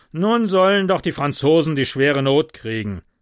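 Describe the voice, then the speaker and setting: On a very clean recording with a silent background, a dry, close sound with no echo carries lively intonation. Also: man. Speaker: podcaster. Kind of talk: reading aloud.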